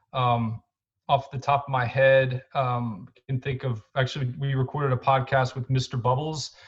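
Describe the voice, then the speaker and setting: With an American accent, a man speaks at a moderate pace in a somewhat breathy voice with medium pitch and monotone, flat intonation. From Texas, Houston. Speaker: nonprofit co-founder. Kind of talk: interview. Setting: podcast. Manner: halting, many fillers.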